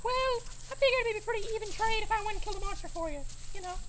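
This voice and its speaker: A squeaky put-on character voice rattles along at a very fast pace. Background noise is noticeable. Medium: comedy sketch. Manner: boastful.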